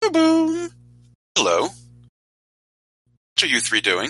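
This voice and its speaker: Someone performs a put-on character voice at an extremely high pitch and a fairly slow pace. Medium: actual play.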